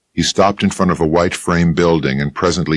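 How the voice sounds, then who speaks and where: Recorded dry and close with no echo, a man speaks at a fairly quick pace with vocal fry and fairly even intonation. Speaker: audiobook narrator. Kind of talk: hard-boiled detective novel narration.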